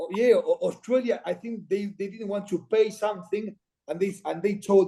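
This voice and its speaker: A man's high-pitched voice with a dark, mellow tone, an Argentine accent, fairly even intonation and a moderate pace. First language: Spanish. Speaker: former rugby player and commentator. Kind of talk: podcast interview. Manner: halting.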